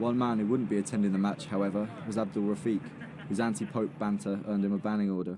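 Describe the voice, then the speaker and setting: A man with an English accent speaks at a very fast pace in a fairly low pitch. His intonation is fairly even, and his loudness stays very even. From England. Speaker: documentary journalist. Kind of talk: documentary narration.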